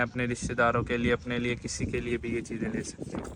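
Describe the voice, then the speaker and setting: A man with a medium-pitched voice and a bright, sharp tone. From Pakistan. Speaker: travel vlogger. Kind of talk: travel vlog narration. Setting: outdoors walking in old city streets.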